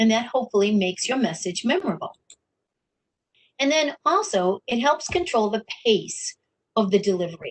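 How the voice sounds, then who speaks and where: Long, frequent pauses break up speech with very wide pitch swings, heard in a dry, close sound with no echo. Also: woman, fairly high pitch for a woman, moderate pace. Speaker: workshop instructor. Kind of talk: webinar tutorial.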